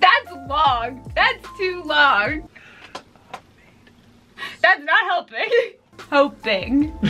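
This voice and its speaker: Over faint music in the background, a woman with an extremely high pitch uses a raised, projected voice, very wide pitch swings, a very slow pace and long, frequent pauses. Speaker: couples vlogger. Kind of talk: casual couples challenge vlog talk to camera. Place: home room.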